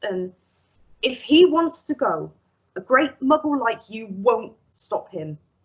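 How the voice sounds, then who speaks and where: A woman's put-on character voice, gruff and growling, high-pitched with very wide pitch swings, big swings in loudness, and a fairly slow pace. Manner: growling, gruff.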